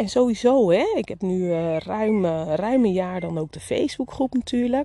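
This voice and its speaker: Her voice has a dark, mellow tone at a medium pitch. The woman's intonation is lively. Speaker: business coach for beauty salon owners. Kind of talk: solo podcast monologue. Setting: outdoors in the garden.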